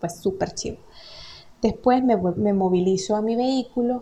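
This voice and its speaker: The delivery is animated in tone, with lively intonation at a fairly slow pace. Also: woman. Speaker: podcaster. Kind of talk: casual monologue. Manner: animated, laughing.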